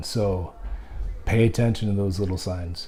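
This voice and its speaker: Noticeable background noise surrounds a man who speaks at a fairly slow pace. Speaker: blogger and interviewer with CTE. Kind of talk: vlog address then interview. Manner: halting, slurred speech.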